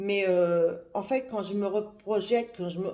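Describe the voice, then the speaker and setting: Speaking at a fairly slow pace, a woman has a medium pitch, a dark, mellow tone and ordinary pitch variation. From France, Paris. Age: 60s. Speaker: religious woman giving advice to young women. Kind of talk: live video monologue. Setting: livestream. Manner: halting, with many hesitations.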